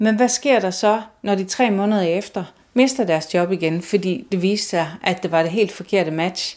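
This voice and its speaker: A woman's medium-pitched voice, with ordinary pitch variation, moves at a fairly slow pace. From Denmark, Aarhus. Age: 50s. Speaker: nurse and embroidery artist. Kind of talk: casual interview. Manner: hesitant with fillers.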